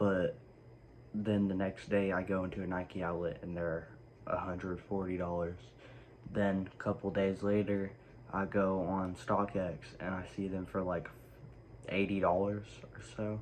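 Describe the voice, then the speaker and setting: With a very deep, low pitch, a man speaks in a monotone, flat way at a fairly slow pace, leaving long, frequent pauses. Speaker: sneaker YouTuber. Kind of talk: casual vlog. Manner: quiet; hesitant, many fillers.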